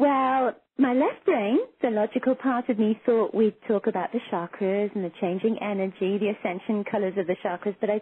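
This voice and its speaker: A woman with an English accent speaks at a moderate pace, her intonation lively. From England. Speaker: psychic and intuition teacher. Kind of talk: interview.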